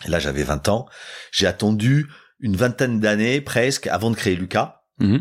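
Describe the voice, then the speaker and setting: On a very clean recording with a silent background, a man speaks at a moderate pace with a fairly low pitch, vocal fry, lively intonation and very even loudness. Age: 50s. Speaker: tech company CEO and founder. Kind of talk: interview. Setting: office.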